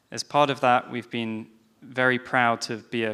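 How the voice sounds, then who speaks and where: Recorded very cleanly against a silent background, a man with a British accent speaks in a bright, sharp tone. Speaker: panel moderator. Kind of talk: panel discussion. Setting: stage with audience.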